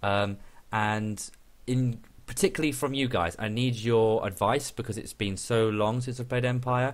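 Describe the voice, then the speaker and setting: A man with a British accent talks at a moderate pace, his pitch medium for a man and its variation ordinary. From Great Britain. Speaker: gaming YouTuber. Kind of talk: gameplay commentary. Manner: hesitant, many fillers.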